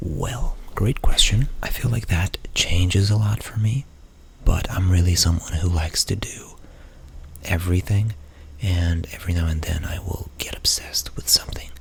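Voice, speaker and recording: Noticeable background noise sits under a man's very deep, low voice, which moves at a moderate pace with ordinary pitch variation. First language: Portuguese. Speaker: ASMR creator. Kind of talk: ASMR Q&A. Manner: soft-spoken; halting.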